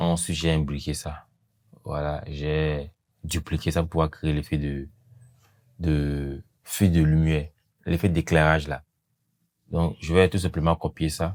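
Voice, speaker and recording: Very deep and low, a man's voice moves at a very slow pace in a flat monotone, with long, frequent pauses. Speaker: video editing tutor. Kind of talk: tutorial. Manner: hesitant, many fillers.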